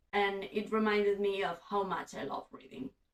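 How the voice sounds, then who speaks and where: With a Catalan accent, a woman talks at medium pitch and a moderate pace. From Spain (Catalan-speaking). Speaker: booktuber. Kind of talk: casual vlog monologue.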